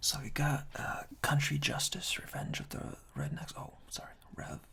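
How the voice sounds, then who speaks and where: Whispering at a fairly slow pace, a man speaks in a calm tone. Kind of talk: ASMR whispered reading of humorous product reviews. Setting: binaural ear-to-ear microphone recording. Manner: whispered, soft-spoken, calm.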